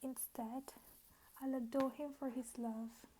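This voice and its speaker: Soft-spoken and very slow, a woman with a high pitch and dark, mellow tone speaks with monotone, flat intonation. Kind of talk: poetry reading.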